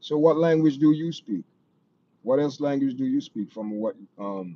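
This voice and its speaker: A man's voice with a Jamaican accent, fairly high in pitch, dark and mellow in tone, with lively intonation. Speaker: live stream host. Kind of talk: casual chat. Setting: live stream. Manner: slow.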